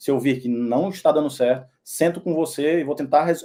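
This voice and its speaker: With a northeastern Brazilian accent, the voice has a dark, mellow tone, ordinary pitch variation and a moderate pace. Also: man. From Northeast Brazil, Teresina, Piauí. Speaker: personal trainer. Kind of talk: sales pitch. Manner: casual, with fillers and repetitions.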